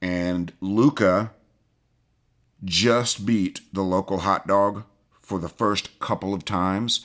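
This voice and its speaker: Someone with a Southern US accent speaks at a very slow pace, leaving long, frequent pauses. The recording is very clean and the background silent. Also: man, fairly low pitch for a man, fairly even intonation. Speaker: shooting coach.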